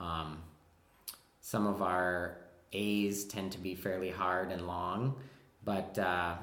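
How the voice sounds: A man's low, fairly bright voice in a Wisconsin accent, slow and with little pitch movement. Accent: Wisconsin, American Midwest.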